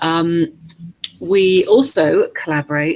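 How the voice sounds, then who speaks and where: With an English accent, a woman speaks at a very slow pace. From England. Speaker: webinar host, business coach. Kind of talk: webinar interview. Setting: online video webinar. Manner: hesitant, many fillers.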